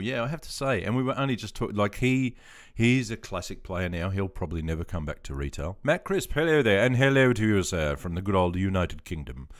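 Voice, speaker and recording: A man with an Australian accent, fairly low in pitch, with very wide pitch swings, a very fast pace and hardly any pauses, in a very clean recording against a silent background. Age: 50s. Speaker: veteran gaming streamer. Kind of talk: casual live stream chat. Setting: live stream. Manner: relaxed, hesitant with many fillers.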